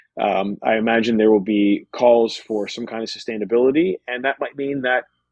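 A plain, everyday voice, fairly quick, with ordinary shifts in pitch. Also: man. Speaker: sports journalist and TV commentator. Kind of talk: casual interview chat.

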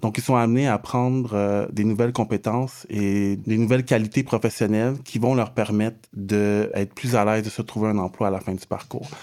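A man talks at a moderate pace with hardly any pauses, his fairly low voice dark and mellow in tone. The intonation stays fairly even, and the recording is very clean with a silent background. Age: 30s. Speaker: social integration counselor. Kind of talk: interview.

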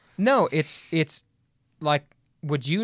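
In a very clean recording with a silent background and a dry, close sound with no echo, a man uses an ordinary speaking voice, fairly high in pitch, at a moderate pace. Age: 20s. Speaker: church worship director. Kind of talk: casual theological debate.

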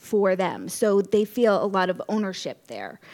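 At a fairly slow pace, a woman with an American accent speaks in a normal speaking voice at medium pitch. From Connecticut (Norwalk). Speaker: library director. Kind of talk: casual interview.

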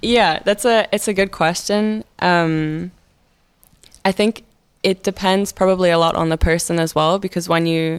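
In a very clean recording with a silent background, a woman speaks with a Scottish accent. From Scotland. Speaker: university student. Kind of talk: casual interview.

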